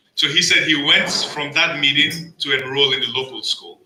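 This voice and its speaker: A man talks in a Nigerian accent. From Nigeria (Lagos). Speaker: storyteller at community event. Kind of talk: personal storytelling speech.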